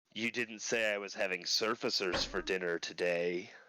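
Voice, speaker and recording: A man's booming, raspy put-on character voice at a fairly low pitch and moderate pace, on a very clean recording with a silent background. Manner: amused, teasing.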